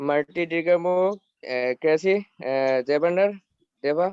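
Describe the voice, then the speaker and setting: A man with a Bangladeshi accent, at a very slow pace. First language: Bengali. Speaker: community member sharing feedback. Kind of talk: webinar greeting. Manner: halting, many hesitations.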